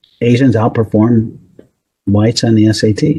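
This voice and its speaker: The man's voice sits at medium pitch and is somewhat breathy. Its tone is dark and mellow. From US Northeast. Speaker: psychology professor. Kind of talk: interview.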